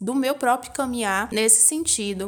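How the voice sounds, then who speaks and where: Pitch varies in an ordinary way as the speech unfolds at a moderate pace. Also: woman. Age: 20s. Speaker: podcast host, dance teacher and embroiderer. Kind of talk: personal monologue podcast.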